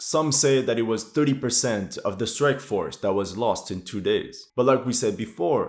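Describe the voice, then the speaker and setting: A man's moderate pace and ordinary pitch variation come through in a very clean recording, silent background. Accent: non-native. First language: not English. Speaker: military history YouTuber. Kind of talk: war situation commentary.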